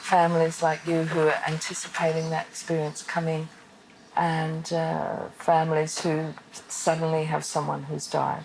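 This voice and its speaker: Against noticeable background noise, a woman with a very deep, low pitch speaks at a fairly slow pace in a monotone, flat way. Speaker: end-of-life counselor.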